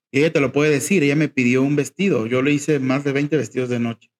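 A man speaks in an ordinary speaking voice at a medium pitch. His pace is fairly quick, his intonation fairly even, and the sound is dry and close with no echo. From Mexico, Jalisco (rural town near Guadalajara). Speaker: fashion designer. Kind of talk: interview.

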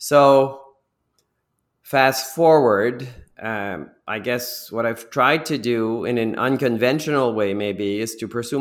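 Fairly slow and fairly even in intonation, a man with an unremarkable speaking voice talks at a medium pitch. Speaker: business executive. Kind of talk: interview.

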